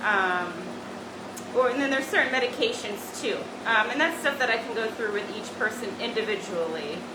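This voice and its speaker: Loud and fairly high-pitched, a woman speaks with lively intonation amid audible room echo and noticeable background noise. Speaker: medical spa doctor doing a treatment demo. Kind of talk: live treatment demonstration. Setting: treatment room, virtual open house video. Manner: hesitant, many fillers; speaking loudly over laser noise.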